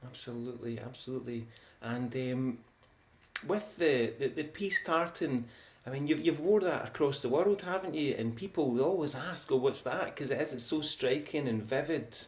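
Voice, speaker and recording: A man speaks at a moderate pace in a Scottish accent. His pitch is fairly high, with ordinary variation. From Scotland. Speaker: show host. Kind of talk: casual interview chat.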